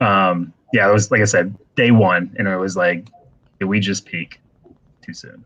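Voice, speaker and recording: At a fairly slow pace, a man speaks in a fairly low pitch with flat, monotone intonation. His loudness swings widely. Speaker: card break host. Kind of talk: casual chat. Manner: quieter than usual, normally very loud.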